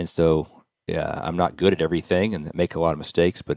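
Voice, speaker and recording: A man's very deep, low, monotone voice at a fairly quick pace, dry and close with no echo, over a quiet background. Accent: Southern US. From US South, Nashville, Tennessee. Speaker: real estate developer. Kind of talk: interview.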